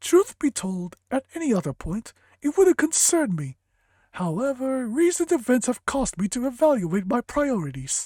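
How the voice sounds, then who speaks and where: A put-on character voice, fairly high in pitch, swings very widely up and down at a moderate pace. The recording is very clean, with a silent background. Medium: game stream. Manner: measured, authoritative.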